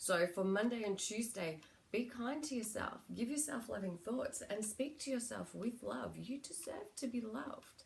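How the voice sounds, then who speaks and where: A woman with an Australian accent talks at a moderate pace in a fairly high pitch with lively intonation over noticeable background noise. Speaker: psychic medium and spiritual healer. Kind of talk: spiritual guidance talk (card reading). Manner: casual, with frequent fillers.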